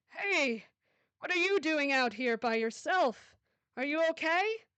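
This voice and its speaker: A woman puts on a character voice, high-pitched and raised to project, with very wide pitch swings, a fairly slow pace and very even loudness. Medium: read story. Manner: falsely friendly, probing.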